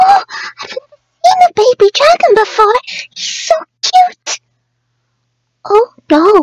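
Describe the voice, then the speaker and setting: A woman's cartoonish character voice at an extremely high pitch, fairly slow pace, and long, frequent pauses. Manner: soft-spoken, timid, hesitant.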